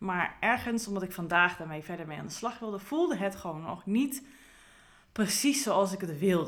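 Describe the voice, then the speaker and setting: The speaker uses lively intonation at a moderate pace. Loudness swings widely. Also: woman, medium pitch for a woman. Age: 30s. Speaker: career coach podcaster. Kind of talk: solo podcast monologue. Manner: calm, relaxed pace.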